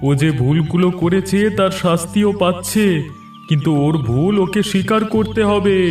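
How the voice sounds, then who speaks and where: In a cartoonish character voice, a man speaks at a high pitch and a moderate pace. Clear music plays in the background. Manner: calm, authoritative.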